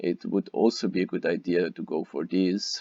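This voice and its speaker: A man with a German accent speaks at a fairly slow pace. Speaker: gaming youtuber. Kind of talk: gameplay commentary. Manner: halting, many fillers.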